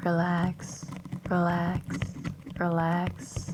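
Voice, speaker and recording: A put-on, robotic character voice at a middle pitch comes through over clear background noise. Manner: repeated words with no pitch change.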